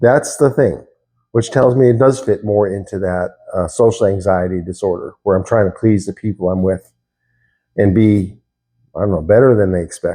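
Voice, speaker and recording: This man's voice has a dark, mellow tone and moves at a moderate pace. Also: quiet background. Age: 60s. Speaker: YouTuber talking about himself. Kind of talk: casual monologue, self-reflection. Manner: hesitant, with fillers and repetitions.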